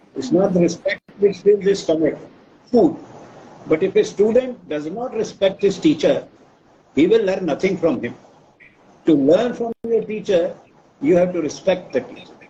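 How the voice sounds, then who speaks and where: A man's high-pitched voice with lively intonation, a moderate pace, and long, frequent pauses, over noticeable background noise. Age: 80s+. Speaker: professor. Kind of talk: interview.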